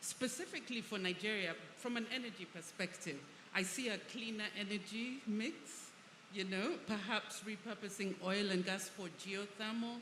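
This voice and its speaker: Amid noticeable background noise and audible room echo, a woman speaks at a moderate pace and medium pitch with ordinary pitch variation. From Uganda. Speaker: energy and infrastructure expert. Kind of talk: panel discussion.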